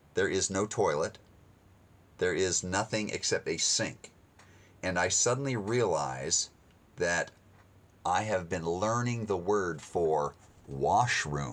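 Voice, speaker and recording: An American accent at a very slow pace, with very even loudness and long, frequent pauses, in a very clean recording with a silent background. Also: man. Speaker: missionary radio speaker. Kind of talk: sermon-style storytelling with a gospel message.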